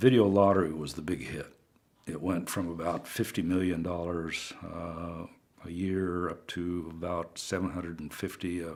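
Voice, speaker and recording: Speaking in a Pacific Northwest accent, a man with a very deep, low voice talks at a moderate pace with monotone, flat intonation. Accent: Pacific Northwest American. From Pendleton, Oregon. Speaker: retired state government director. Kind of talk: oral history interview answer.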